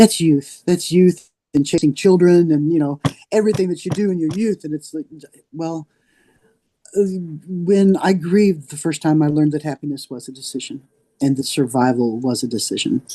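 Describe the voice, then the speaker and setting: A woman with a very deep, low pitch and a dark, mellow tone talks at a moderate pace with lively intonation, big swings in loudness and long, frequent pauses, in a dry, close sound with no echo. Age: 60s. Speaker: horse industry advocate. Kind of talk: interview. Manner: halting.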